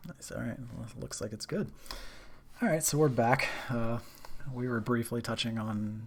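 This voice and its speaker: Soft-spoken, a man talks at a moderate pace over noticeable background noise. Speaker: streamer. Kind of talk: casual chat. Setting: live stream.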